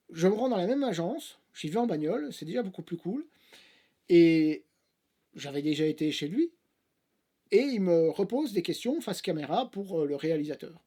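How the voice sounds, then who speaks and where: This man talks at a moderate pace in a high pitch with a strong Belgian accent, his intonation lively and broken by long, frequent pauses. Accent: Belgian French, fairly strong. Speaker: actor and YouTuber. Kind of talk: casual vlog storytelling. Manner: hesitant, many fillers.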